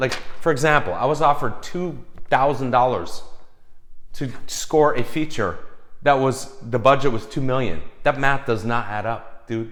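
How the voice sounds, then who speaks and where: An animated man speaks at a moderate pace with medium pitch and ordinary pitch variation. Audible room echo surrounds his voice. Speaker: film composer giving advice. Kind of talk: casual vlog advice rant.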